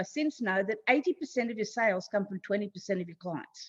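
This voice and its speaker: In an Australian accent, a woman speaks at a moderate pace. Her pitch swings very widely. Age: 60s. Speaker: online marketing consultant. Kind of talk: podcast interview.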